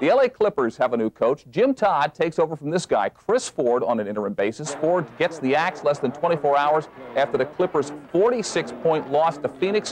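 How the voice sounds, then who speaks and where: A man's fairly high voice with lively intonation at a fairly quick pace, over noticeable background noise. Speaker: sports anchor. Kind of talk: TV sports news read. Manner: pleasantly authoritative; playful, upbeat.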